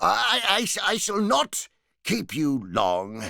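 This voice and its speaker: Using a put-on character voice, a man speaks very slowly at a fairly high pitch, swinging his pitch very widely. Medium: read story. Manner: hesitant, halting, playful.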